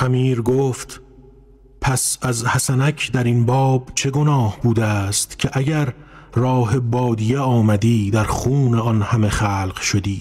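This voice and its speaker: A man at medium pitch speaks at a very slow pace, his intonation fairly even and his loudness very even. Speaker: narrator of classical prose. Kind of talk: literary audiobook reading.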